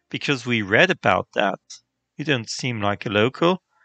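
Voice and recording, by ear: The speaker is reading aloud in a natural voice with lively intonation. The background is quiet.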